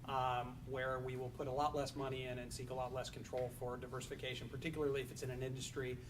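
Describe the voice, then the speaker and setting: Amid noticeable background noise and audible room echo, a man talks very fast in a medium pitch with monotone, flat intonation. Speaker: family office executive. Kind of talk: panel discussion.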